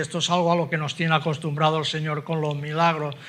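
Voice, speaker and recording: The tone is bright and sharp, with monotone, flat intonation. Audible room echo surrounds the voice. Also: man. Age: 70s. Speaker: preacher. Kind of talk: sermon.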